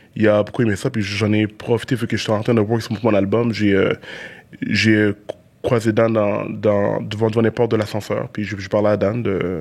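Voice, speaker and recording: In a monotone, flat intonation, a man speaks at a moderate pace with a fairly low pitch. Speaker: rapper. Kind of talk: casual interview chat. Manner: halting, repeated syllables.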